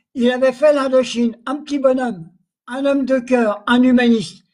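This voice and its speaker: A man's extremely high voice holds a monotone, flat intonation. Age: 80s+. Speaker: Algerian War veteran. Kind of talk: testimony. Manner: halting.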